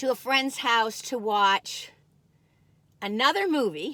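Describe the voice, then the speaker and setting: In a Michigan accent, a woman speaks with a high pitch and an animated, bright, sharp tone, her intonation lively, on a very clean recording with a silent background. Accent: nasal Michigan vowels. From US Midwest, Michigan. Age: 60s. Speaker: food reviewer, YouTuber. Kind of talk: casual taste-test vlog. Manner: animated, chatty.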